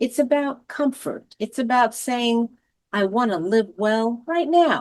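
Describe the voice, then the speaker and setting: Her pitch is high and her pitch variation ordinary. The woman talks at a very slow pace. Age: 60s. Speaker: senior advocate. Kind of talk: reflective monologue.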